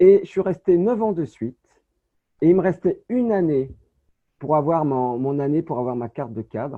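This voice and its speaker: A man with a high pitch and lively intonation. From France, Saint-Étienne (Loire). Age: 50s. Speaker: real estate agent. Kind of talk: interview. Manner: halting.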